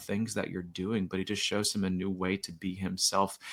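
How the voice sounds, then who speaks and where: An American-accented man at a fairly quick pace, on a very clean recording with a silent background. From Florida. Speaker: children's author and poet. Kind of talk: podcast interview. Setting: podcast. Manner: fast.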